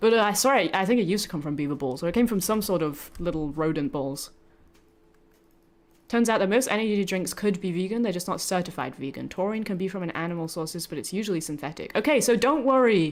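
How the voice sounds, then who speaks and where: This speaker, with a British accent, talks at a very fast pace with lively intonation. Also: woman, medium pitch for a woman. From Britain. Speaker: vtuber streamer. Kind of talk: casual live stream chat. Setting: live stream.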